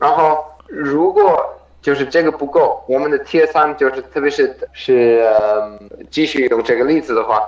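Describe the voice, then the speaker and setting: A man with a German accent speaks at a fairly slow pace, using a fairly high pitch with ordinary variation. Noticeable background noise runs beneath him. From Germany. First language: German (speaking Chinese). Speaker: professional triathlete. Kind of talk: interview. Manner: halting, many fillers.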